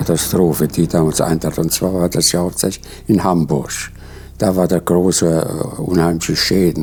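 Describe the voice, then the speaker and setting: Noticeable background noise behind a man with a very deep, low pitch, moderate pace, very even loudness and fairly even intonation. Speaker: war veteran, military eyewitness. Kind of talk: eyewitness account, recollection told to camera.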